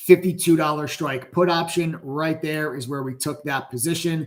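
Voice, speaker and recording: The speaker is a man. His pitch sits fairly high. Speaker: stock trading educator and livestream host. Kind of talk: live stream market commentary. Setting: live stream. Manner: excited, energetic.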